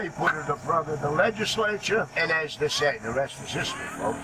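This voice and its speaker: A man talking at a fairly quick pace, ordinary pitch variation, noticeable background noise. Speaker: boat pilot tour guide. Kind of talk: tour guide narration. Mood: jokey, friendly. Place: boat.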